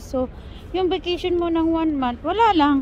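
Noticeable background noise sits behind the voice. A woman speaks at a moderate pace with ordinary pitch variation. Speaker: vlogger. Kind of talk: travel vlog narration. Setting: outdoors.

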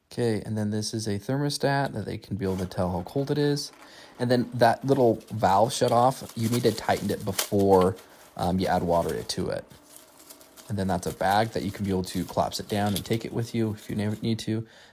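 Light background noise sits behind a man with a plain, everyday voice, fairly low in pitch, at a fairly quick pace with ordinary pitch variation. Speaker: product reviewer. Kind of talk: casual product review walkthrough. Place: home room.

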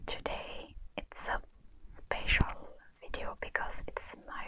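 Whispering at a very slow pace, a woman is heard. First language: French. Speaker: ASMR creator. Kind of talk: ASMR show and tell. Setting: low-quality lapel mic recording. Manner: whispered.

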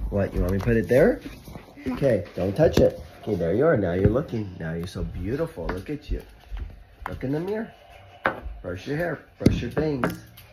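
A man with long, frequent pauses, amid loud background noise. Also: moderate pace. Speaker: parent coaching child. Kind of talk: casual talk to a child. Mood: warm, encouraging. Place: home room. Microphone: phone near.

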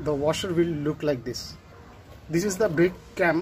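At a moderate pace, a man speaks in a high pitch against light background noise. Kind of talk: tutorial. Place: workshop. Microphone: phone near.

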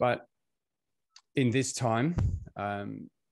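A man talks at a very slow pace with ordinary pitch variation. The sound is dry with no echo, over a quiet background. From UK. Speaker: coach and session convener. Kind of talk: personal storytelling. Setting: video call. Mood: calm, reflective. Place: home room. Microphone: video call.

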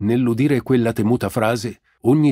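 In a very clean recording with a silent background, a man speaks at a moderate pace. His tone is dark and mellow, his intonation fairly even. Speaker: audiobook narrator. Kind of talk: literary audiobook reading, scripted narration with voiced characters. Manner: measured storyteller, shifting to a jovial official's tone in dialogue.

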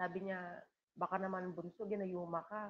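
Woman at medium pitch, fairly quick pace, ordinary pitch variation, light background noise. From Philippines, island coastal town. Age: 50s. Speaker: livestream vlogger. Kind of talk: casual livestream chat. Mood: emotional, reflective. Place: home room. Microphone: video call.

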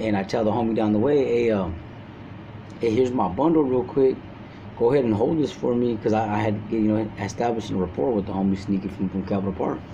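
With an American accent, a man with a fairly low pitch talks at a very fast pace and varies his pitch in an ordinary way. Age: 40s. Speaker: prison inmate. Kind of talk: storytelling. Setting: phone call. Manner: halting.

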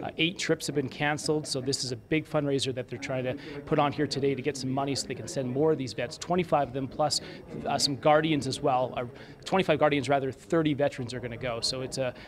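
Very fast-paced speech from a man, with noticeable background noise. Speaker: TV news reporter. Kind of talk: live news report. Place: hall. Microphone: handheld.

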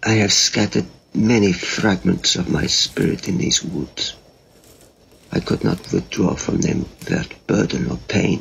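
A man's raspy, put-on character voice, fairly low in pitch, at a moderate pace. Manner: slow, cryptic, solemn.

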